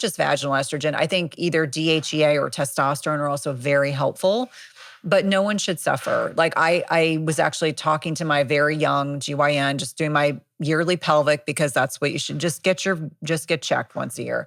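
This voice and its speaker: On a very clean recording with a silent background, a woman with an American accent speaks at a fairly quick pace in a very deep, low pitch, with an animated tone and ordinary pitch variation. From US Northeast, New Jersey. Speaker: nurse practitioner and author. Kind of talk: expert interview.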